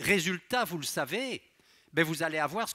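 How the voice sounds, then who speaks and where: Speaking fairly quickly with a slight Belgian accent, a man has a high pitch that swings very widely and a bright, sharp tone. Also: quiet background. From Belgium. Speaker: pharmacology professor and researcher; pharmacology professor. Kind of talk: public science lecture. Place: hall. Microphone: headset.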